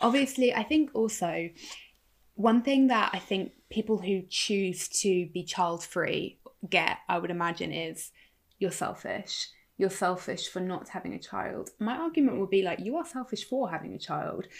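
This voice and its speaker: A woman speaks at a moderate pace with a medium pitch. Her intonation is lively, with some vocal fry. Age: 30s. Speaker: podcast co-host. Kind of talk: casual chat.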